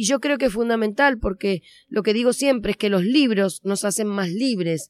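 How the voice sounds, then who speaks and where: A woman speaks in a fairly high voice with an Argentine accent. The recording is very clean with a silent background, and the sound is dry and close with no echo. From Argentina. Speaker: children's author and storyteller. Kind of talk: interview. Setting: on location at a festival.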